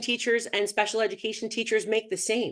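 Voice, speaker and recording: Her pace is fairly quick. The woman's pitch is medium. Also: quiet background. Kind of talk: panel discussion. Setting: webinar. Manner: fast.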